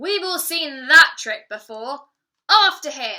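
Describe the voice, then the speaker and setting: A woman speaks in a put-on character voice. Her pace is fairly slow. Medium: read story.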